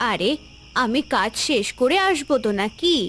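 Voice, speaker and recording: In a cartoonish character voice, a female-sounding speaker talks at a high pitch and a moderate pace over clear background noise. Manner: brisk, friendly.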